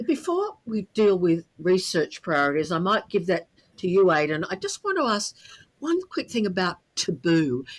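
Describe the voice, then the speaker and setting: A woman with an Australian accent, lively intonation and a moderate pace. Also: medium pitch for a woman. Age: 70s. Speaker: podcast co-host. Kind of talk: casual interview chat.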